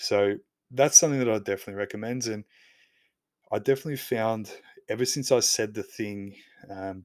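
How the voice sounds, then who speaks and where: At a fairly quick pace, the speaker uses an Australian accent with fairly even intonation, on a very clean recording with a silent background. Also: man. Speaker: podcast host. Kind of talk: solo podcast monologue.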